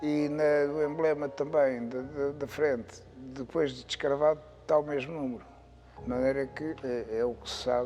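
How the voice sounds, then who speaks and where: A man speaks with monotone, flat intonation at a fairly high pitch. His loudness swings widely at a moderate pace. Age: 70s. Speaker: classic car collector. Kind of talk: interview answer.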